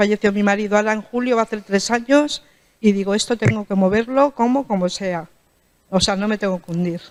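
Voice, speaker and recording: A woman talks at a fairly quick pace with a fairly high pitch and ordinary pitch variation, in an animated tone. The sound is dry and close with no echo. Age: 60s. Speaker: audience member, volunteer. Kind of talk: audience comment at a conference. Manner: hesitant, animated.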